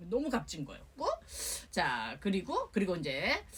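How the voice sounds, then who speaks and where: A woman's medium-pitched voice with very wide pitch swings, at a fairly slow pace. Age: old. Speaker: singer-songwriter. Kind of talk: interview answer.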